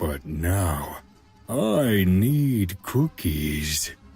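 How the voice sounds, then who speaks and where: A cartoonish character voice over faint background music. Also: man, very deep, low pitch for a man. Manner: terse, broken words.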